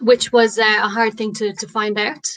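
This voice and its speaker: The voice has a bright, sharp tone and an Irish accent. It moves at a moderate pace. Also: woman. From Ireland, rural. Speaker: comedian. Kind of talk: stand-up.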